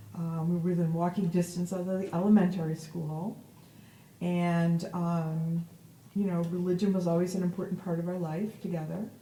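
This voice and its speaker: In an American accent, a woman with a fairly low pitch talks at a moderate pace in a monotone, flat intonation over noticeable background noise. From upstate New York, Verona. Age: 60s. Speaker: cantor. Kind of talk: oral history interview. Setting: synagogue.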